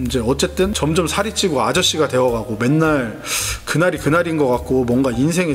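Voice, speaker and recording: Music plays in the background as a man talks. His pace is fairly quick and his intonation lively. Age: 30s. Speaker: vlogger. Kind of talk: casual vlog talk. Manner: hesitant, filler-heavy.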